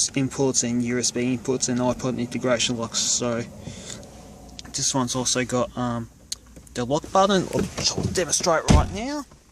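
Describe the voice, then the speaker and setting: A man speaks at a moderate pace with an Australian accent and a medium pitch. Noticeable background noise runs behind him. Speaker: car enthusiast vlogger. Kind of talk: casual car walkaround review. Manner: halting, many fillers.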